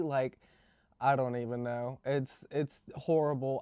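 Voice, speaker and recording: Fairly slow speech from a man with an American accent and fairly high pitch, dry and close with no echo, on a very clean recording with a silent background. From Virginia, US. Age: 20s. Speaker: beauty vlogger. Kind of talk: casual makeup tutorial chat. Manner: hesitant, many fillers.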